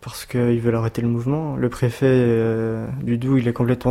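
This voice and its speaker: The man's pitch is medium, and he speaks at a fairly quick pace. Noticeable background noise is present. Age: 20s. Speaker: fast-food trainer and protester. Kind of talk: interview testimony. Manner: casual, halting.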